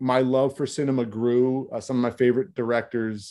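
Against a quiet background, a voice with a dark, mellow tone speaks in an American accent. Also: man. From South Philadelphia. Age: 30s. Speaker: film director. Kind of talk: casual interview.

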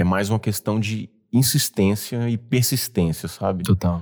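In a very clean recording with a silent background, a man with a slight Bahian accent speaks at a fairly slow pace, with fairly low pitch and ordinary pitch variation. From Bahia, Brazil (Mucuri). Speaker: entrepreneur. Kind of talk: interview conversation.

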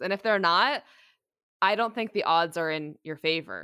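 A woman with an unremarkable speaking voice talks at a moderate pace, her fairly low pitch carried by lively intonation. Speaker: podcast co-host and music consultant. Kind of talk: creative consulting session. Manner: casual with many fillers.

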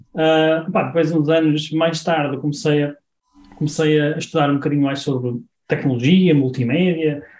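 The speaker has a normal speaking voice at a moderate pace. Intonation is fairly even, and loudness holds very even. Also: man, fairly high pitch for a man. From northern Portugal, Guimarães. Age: 40s. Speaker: e-commerce marketing consultant. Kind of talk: interview.

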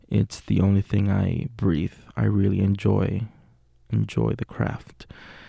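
A man is speaking. The sound is dry and close with no echo. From Puerto Rico. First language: Spanish. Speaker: acting student and podcast host. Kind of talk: casual monologue. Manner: hesitant with fillers.

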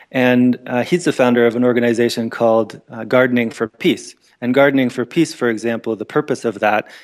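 On a very clean recording with a silent background, a man with a Canadian accent talks at a fairly quick pace in a medium pitch, his intonation monotone and flat. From Canada, Northern Ontario. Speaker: permaculture educator. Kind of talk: interview. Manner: halting, many fillers.

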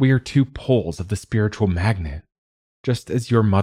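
The background stays quiet. A reader speaks in an unforced voice.

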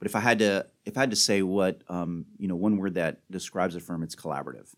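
A man with a very deep, low voice speaks very fast in a very clean recording with a silent background. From Miami. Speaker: lawyer and lobbyist. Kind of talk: interview.

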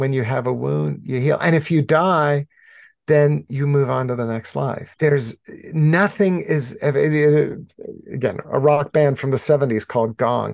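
Speaking in an ordinary speaking voice, a man has a fairly high pitch and ordinary pitch variation. He goes at a fairly slow pace against a quiet background. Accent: American. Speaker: author and spiritual director. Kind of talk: interview.

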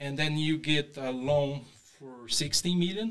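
A man with a Brazilian accent, a fairly high pitch, ordinary pitch variation and a fairly slow pace. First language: Portuguese. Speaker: real estate investor. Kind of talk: interview. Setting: studio. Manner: halting.

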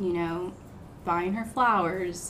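A woman with an American accent speaks at a fairly slow pace. Her pitch is fairly low, and audible room echo surrounds her voice. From US South, south Georgia (Moultrie). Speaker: dentist. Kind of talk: casual chat.

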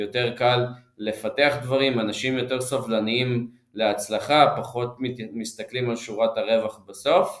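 At a fairly slow pace, a man talks in a normal speaking voice with medium pitch and ordinary pitch variation. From Israel. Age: 30s. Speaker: cannabis beverage executive. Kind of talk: interview.

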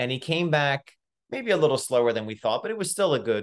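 Moving at a fairly quick pace, a man's voice swings very widely in pitch. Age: 40s. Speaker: podcast host and ultra runner. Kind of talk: casual interview chat. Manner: halting, many fillers.

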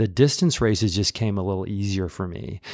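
A Midwestern American accent on a very clean recording with a silent background. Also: man. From US Midwest, Peoria, Illinois. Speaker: running coach and teacher. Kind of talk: casual interview.

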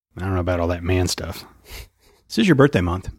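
A man speaks fast in a low voice with lively intonation, a slightly husky edge and a slightly mellow tone, on a very clean recording with a silent background.

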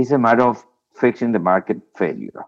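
A man with a Spanish accent, medium pitch, moderate pace and lively intonation. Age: 60s. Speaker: former environment minister. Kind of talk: interview.

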